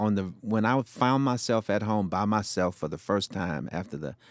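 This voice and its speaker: A man speaks with a Southern US accent. The sound is dry and close with no echo, and the recording is very clean with a silent background. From US South, Shreveport, Louisiana. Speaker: former fire chief and speaker. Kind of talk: interview testimony.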